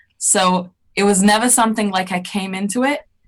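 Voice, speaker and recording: In a London accent, a woman talks at a moderate pace with a somewhat breathy, medium-pitched voice. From England, Edgware, north London. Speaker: singer and choir leader. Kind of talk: interview.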